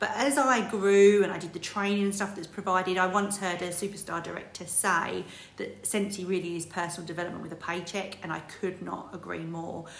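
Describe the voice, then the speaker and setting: Fairly quick and with hardly any pauses, a woman speaks with fairly even intonation amid audible room echo. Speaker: direct sales team leader. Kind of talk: motivational talk. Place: home room. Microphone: phone near.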